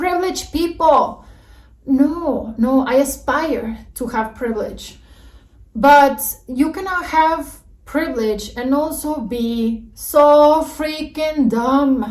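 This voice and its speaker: A woman's high voice at a very slow pace, with ordinary pitch variation and audible room echo. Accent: Mexican. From Mexico. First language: Spanish. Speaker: YouTuber. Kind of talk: reaction video rant. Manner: animated.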